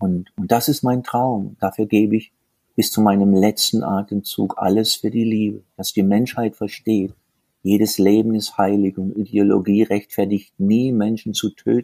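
A man's fairly low, dark, mellow voice, fairly slow, dry and close with no echo. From southern Germany, rural. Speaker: tantra workshop leader. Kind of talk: interview. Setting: remote call. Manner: animated.

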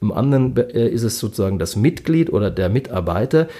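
Very wide pitch swings mark this dark, mellow voice, heard at a moderate pace on a very clean recording with a silent background. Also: man. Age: 40s. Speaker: journalist. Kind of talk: casual interview. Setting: office, creaking leather chairs. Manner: hesitant, many fillers.

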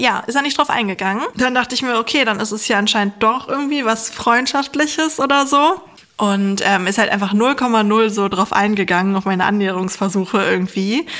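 A woman's fairly high voice at a fairly quick pace, with ordinary pitch variation, over noticeable background noise. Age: 30s. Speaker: psychologist and science journalist. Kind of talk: casual chat. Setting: video call.

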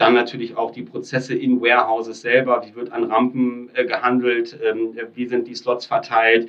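Speaking at a moderate pace in a medium pitch, a man keeps a monotone, flat intonation while his loudness swings widely. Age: 30s. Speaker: startup founder and company builder. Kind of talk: podcast interview.

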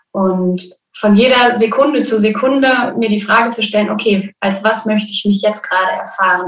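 This is a normal speaking voice. It moves at a moderate pace with fairly even intonation. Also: woman, fairly high pitch for a woman. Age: 20s. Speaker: birth preparation coach. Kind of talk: interview. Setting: video call.

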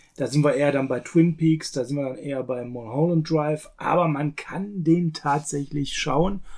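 Speaking in an unremarkable speaking voice, a man keeps a moderate pace with hardly any pauses, a fairly high pitch and ordinary pitch variation. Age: 40s. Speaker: film podcast co-host. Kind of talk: casual chat.

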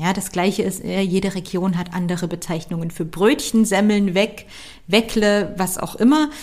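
A woman with a plain, everyday voice talks at a moderate pace, her medium pitch showing ordinary pitch variation. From Saxony, Dresden. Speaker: career coach and podcast host. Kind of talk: solo podcast talk.

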